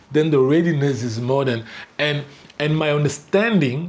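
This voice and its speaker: Recorded with audible room echo, a man speaks at a fairly high pitch with ordinary pitch variation. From Cameroon (Douala). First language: French. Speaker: spiritual life coach. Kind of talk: reading aloud with commentary. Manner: casual, halting with repetitions.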